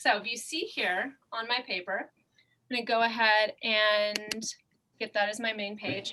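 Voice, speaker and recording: A woman speaks in a normal speaking voice, fairly high in pitch, with fairly even intonation. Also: fairly slow pace. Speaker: fashion illustration instructor. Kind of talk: tutorial.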